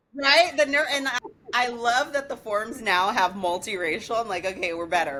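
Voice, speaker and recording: A woman with an American accent talks at a moderate pace, her pitch swinging very widely. Noticeable background noise runs underneath. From New York, the Bronx. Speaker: digital branding entrepreneur. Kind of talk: podcast interview.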